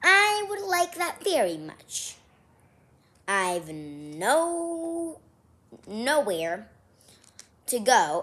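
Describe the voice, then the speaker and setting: In a put-on character voice, a woman talks very slowly at a high pitch, with long, frequent pauses. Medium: read story. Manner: polite, earnest.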